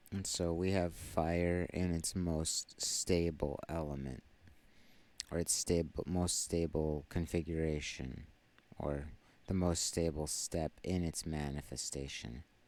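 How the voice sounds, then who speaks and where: Quiet and very slow, the delivery keeps a fairly even intonation. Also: man, very deep, low pitch for a man. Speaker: tarot reader. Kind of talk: tarot reading. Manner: halting.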